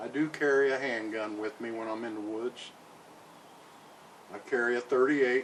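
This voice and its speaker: There is noticeable background noise behind this man's relaxed tone. His pitch is medium with ordinary variation. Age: 60s. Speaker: outdoor vlogger. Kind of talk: casual talk to camera. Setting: outdoors on cabin porch. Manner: relaxed, unhurried.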